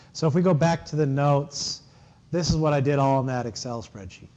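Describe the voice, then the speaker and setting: A dark, mellow tone at a fairly quick pace, with ordinary pitch variation and audible room echo. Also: man. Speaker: university lecturer. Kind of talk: lecture.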